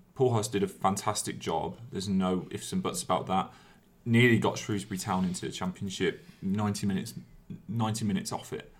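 Fairly low-pitched man, an ordinary speaking voice, ordinary pitch variation throughout. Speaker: podcast host. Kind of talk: casual chat.

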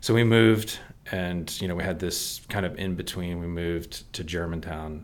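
With an American accent and a very deep, low pitch, a man speaks at a moderate pace with fairly even intonation, and the room echo is audible. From Texas and Maryland, US. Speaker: church member sharing testimony. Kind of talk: testimony.

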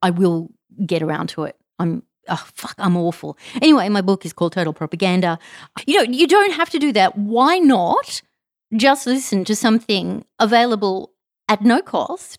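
The speaker has an Australian accent, very wide pitch swings and a moderate pace. The recording is very clean with a silent background, and the sound is dry and close with no echo. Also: woman, medium pitch for a woman. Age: 40s. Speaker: podcast host. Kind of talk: casual monologue. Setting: home recording.

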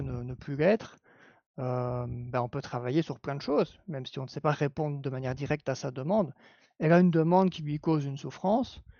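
A man's fairly high voice in a Belgian accent, at a fairly quick pace with ordinary pitch variation. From Belgium. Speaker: clinical psychology assistant. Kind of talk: live-stream panel discussion.

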